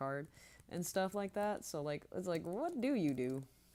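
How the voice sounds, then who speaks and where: A woman speaks with a dark, mellow tone. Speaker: streamer and artist. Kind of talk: casual chat while gaming. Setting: live stream. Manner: slow.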